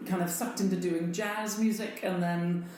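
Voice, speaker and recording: A woman with an American accent and ordinary pitch variation at a moderate pace, with audible room echo and noticeable background noise. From United States. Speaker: festival director. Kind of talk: interview. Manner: hesitant fillers.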